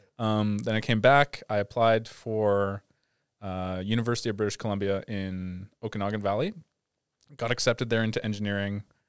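Flat, monotone intonation with a Canadian accent, dry and close with no echo, on a very clean recording with a silent background. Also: man, fairly low pitch for a man, moderate pace. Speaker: VR producer. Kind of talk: casual chat. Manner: soft-spoken.

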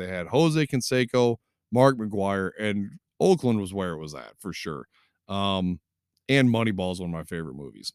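A man with a Michigan accent, fairly low pitch, lively intonation and a fairly quick pace, in a dry, close sound with no echo and a very clean recording with a silent background. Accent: Midwestern US (Michigan). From southwest Michigan. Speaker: sports podcast host. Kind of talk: solo sports commentary podcast. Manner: casual, many fillers (um, uh).

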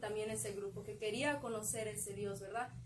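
A woman talks at a moderate pace, her voice carrying audible room echo. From Mexico, León, Guanajuato. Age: 20s. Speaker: young church group member. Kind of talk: faith testimony. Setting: live stream from a bookstore.

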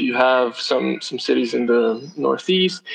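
A man talks at a medium pitch. Noticeable background noise is present. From southern Brazil. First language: Portuguese. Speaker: startup executive. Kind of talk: interview.

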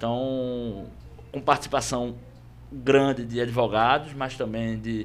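A man talks in a medium pitch with an unremarkable speaking voice. His intonation is fairly even. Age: 30s. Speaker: lawyer and podcast host. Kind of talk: panel discussion moderation.

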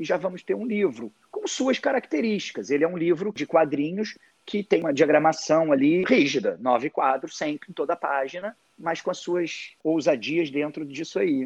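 A man with a plain, everyday voice and a fairly high pitch talks at a moderate pace, the sound dry and close with no echo. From Rio de Janeiro, Brazil. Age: 40s. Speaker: comic artist. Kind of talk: interview.

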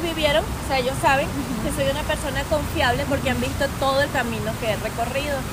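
In a space with audible room echo and noticeable background noise, a woman talks at a fairly quick pace. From Venezuela. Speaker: influencer and entrepreneur. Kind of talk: casual interview. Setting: recorded inside a market.

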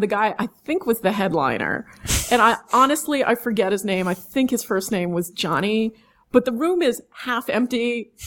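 With a New York accent, a woman speaks at a moderate pace in an animated tone, her fairly high voice full of lively intonation on a very clean recording with a silent background. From New York, Manhattan and Long Island. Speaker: sideshow performer, sword swallower. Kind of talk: interview storytelling.

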